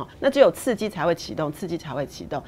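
Her pitch fairly low, a woman swings very widely in pitch as she speaks. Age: 40s. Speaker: public relations executive. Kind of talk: interview.

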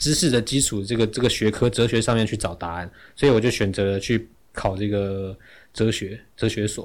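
An unremarkable speaking voice belongs to a man with fairly low pitch and fairly even intonation, at a moderate pace. The recording is very clean, with a silent background. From Taiwan, Yilan. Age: 30s. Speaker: travel writer and speaker. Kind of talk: interview conversation. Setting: studio.

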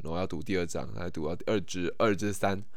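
At a moderate pace, a man speaks with a fairly low voice, with audible room echo. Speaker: podcast host. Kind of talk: casual monologue. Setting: at home in his room. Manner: halting, many repetitions and fillers.

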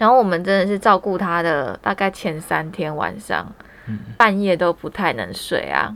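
A woman speaks at a moderate pace with lively intonation. Vocal fry shows up in her voice. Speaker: podcast host. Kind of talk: casual chat. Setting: small room at home, masked.

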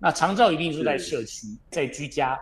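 A man with a normal speaking voice and fairly high pitch. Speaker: company chairman. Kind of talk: radio interview. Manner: measured explanatory with fillers.

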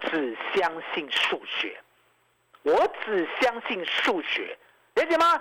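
With an animated tone, a man speaks in a high pitch that swings very widely. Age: 50s. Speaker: stock market analyst. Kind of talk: radio market commentary.

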